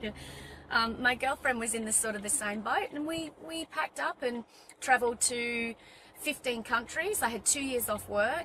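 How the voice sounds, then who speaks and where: Over noticeable background noise, a high-voiced woman with an Australian accent speaks in an animated tone at a moderate pace, with ordinary pitch variation. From Western Australia. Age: 40s. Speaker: personal trainer. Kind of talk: interview.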